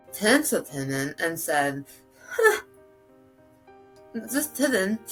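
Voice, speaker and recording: Music plays in the background as a woman speaks at a very slow pace, her pitch swinging very widely. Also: medium pitch for a woman. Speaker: cancer survivor. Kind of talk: interview answer.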